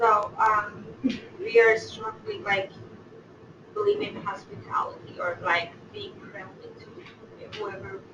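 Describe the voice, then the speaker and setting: A woman speaks at a very slow pace with long, frequent pauses and big swings in loudness. Audible room echo and noticeable background noise surround her voice. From Iran. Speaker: workshop participant. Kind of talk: class discussion. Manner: hesitant, many fillers.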